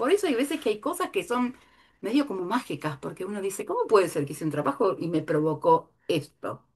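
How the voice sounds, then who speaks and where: A woman with a fairly high pitch, talking at a fairly quick pace. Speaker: art therapy teacher. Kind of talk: lecture. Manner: animated.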